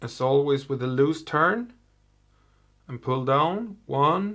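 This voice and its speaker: His pitch sits fairly high. The man talks at a very slow pace. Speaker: fly tier. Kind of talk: tutorial. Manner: halting.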